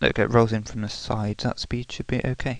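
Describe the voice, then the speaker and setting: At a fairly quick pace, a man talks in a monotone, flat intonation. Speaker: video editing tutorial maker. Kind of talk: screen-recorded software tutorial. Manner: sheepish, hesitant.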